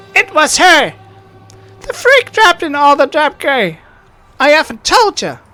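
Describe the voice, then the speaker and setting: A loud, high-pitched put-on character voice moves at a moderate pace with long, frequent pauses over faint background music. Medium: game stream. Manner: loud, abrasive.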